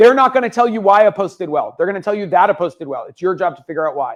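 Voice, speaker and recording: A man with a high voice speaks in an animated tone. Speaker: social media consultant and speaker. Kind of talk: conference presentation. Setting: stage with audience. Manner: fast.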